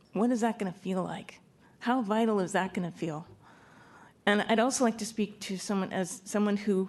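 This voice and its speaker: Her pitch medium and her intonation fairly even, a woman talks at a moderate pace. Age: 60s. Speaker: public commenter. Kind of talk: public comment testimony. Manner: halting.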